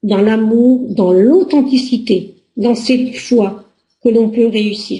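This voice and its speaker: A woman speaks very slowly in a dark, mellow tone, her loudness staying very even throughout. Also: ordinary pitch variation. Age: 60s. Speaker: relationship coach. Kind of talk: personal presentation to camera.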